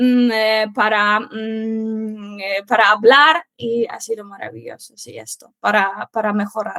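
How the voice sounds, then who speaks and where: Delivered at a very slow pace with hardly any pauses, this voice has a bright, sharp tone and fairly even intonation. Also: woman, fairly high pitch for a woman. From Poland. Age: 20s. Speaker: Spanish teacher. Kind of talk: interview. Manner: halting, many fillers.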